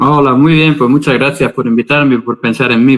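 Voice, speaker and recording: A man with a Spanish accent at a moderate pace. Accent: Spanish from Spain. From Spain, Valencia. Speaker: religious scholar. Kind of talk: interview.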